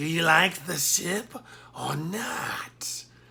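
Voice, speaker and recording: A raspy, put-on character voice. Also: man, high pitch for a man. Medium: read story. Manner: wheedling, theatrical.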